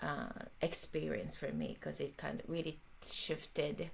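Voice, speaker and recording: In a Japanese accent, a woman speaks at a fairly slow pace with vocal fry. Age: 50s. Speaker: jazz violinist and composer. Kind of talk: interview conversation. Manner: halting, many fillers.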